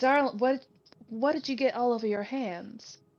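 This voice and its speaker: A woman puts on a character voice, pitched high. She drawls at a moderate pace. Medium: virtual streamer. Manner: drawling, flirtatious, calls others darling.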